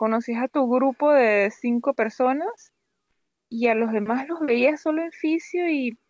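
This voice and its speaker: Pitched high, a woman talks at a fairly slow pace. Her pitch varies in an ordinary way. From Venezuela, Valera (Andes). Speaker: doctor, plastic surgery resident. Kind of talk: interview conversation. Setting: remote call.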